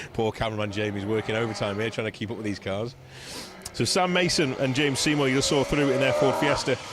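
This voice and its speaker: A man talks at a very fast pace with ordinary pitch variation. Background noise is noticeable. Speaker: rally commentator. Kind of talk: live commentary. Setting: outdoors. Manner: conversational.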